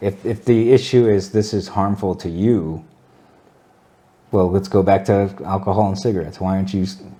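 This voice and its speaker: A mumbling man at a fairly low pitch and moderate pace, with long, frequent pauses. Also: fairly even intonation. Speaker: cannabis enthusiast guest. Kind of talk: casual chat. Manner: slurred, mumbling.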